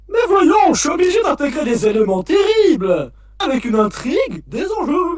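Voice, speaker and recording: Putting on a character voice, a man delivers his lines at a moderate pace. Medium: fan dub. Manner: theatrical, showman-like.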